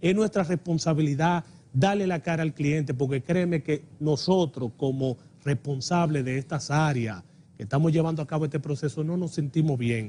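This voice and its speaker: The voice is somewhat breathy and dark and mellow in tone, with ordinary pitch variation. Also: man, fairly high pitch for a man, moderate pace. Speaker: electricity company manager. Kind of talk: TV interview.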